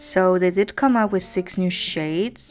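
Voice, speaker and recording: Music plays in the background as a woman speaks fairly slowly. Her pitch is fairly low, with ordinary variation. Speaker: beauty youtuber. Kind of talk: product review to camera.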